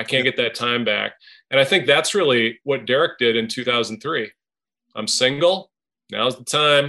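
A man with an American accent speaks at a fairly slow pace in a medium pitch, with ordinary pitch variation and a bright, sharp tone against a quiet background. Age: 50s. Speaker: business founder. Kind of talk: interview.

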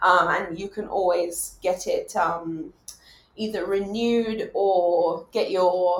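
A woman is speaking. She has a British accent. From England. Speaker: doctor. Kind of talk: casual interview conversation. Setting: online recording from home.

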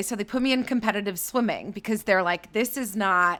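In a plain, everyday voice, a woman speaks at a fairly quick pace with ordinary pitch variation. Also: very clean recording, silent background. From Canada, Toronto suburbs. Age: 30s. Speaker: digital marketing and creator partnerships executive. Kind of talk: casual interview.

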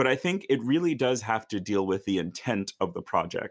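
In a plain, everyday voice, a man speaks at a moderate pace with lively intonation on a very clean recording with a silent background. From rural northern Virginia, US. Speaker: opera singer. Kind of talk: interview.

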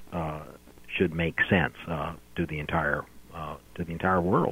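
Here a man speaks with an American accent. His pace is moderate. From US Midwest, southwest Missouri. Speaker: history professor. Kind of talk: interview. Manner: halting.

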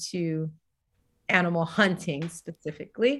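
On a very clean recording with a silent background, a woman speaks in a normal speaking voice, medium in pitch, at a fairly slow pace with ordinary pitch variation. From US South, Tennessee. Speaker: wellness coach and yoga teacher. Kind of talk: casual interview.

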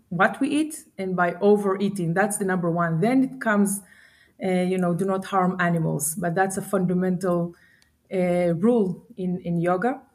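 In a very clean recording with a silent background, a woman speaks at a moderate pace. Her voice is somewhat breathy, medium in pitch, with ordinary pitch variation. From Israel. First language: Hebrew. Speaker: startup founder and CEO. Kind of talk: interview. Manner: halting, many fillers.

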